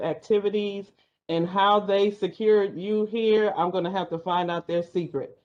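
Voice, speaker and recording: A woman with an American accent talks at a moderate pace in an unremarkable speaking voice with fairly even intonation. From California. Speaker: university staff member. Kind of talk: audience comment.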